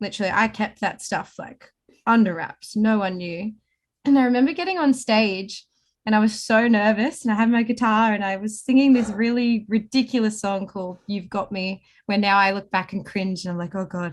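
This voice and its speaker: A somewhat breathy woman speaks in an Australian accent at a fairly high pitch. Her pace is moderate and her pitch varies in an ordinary way. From Snowy Mountains, New South Wales, Australia. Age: 20s. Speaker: singer-songwriter and paramedic. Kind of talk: interview answer. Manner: casual, chatty.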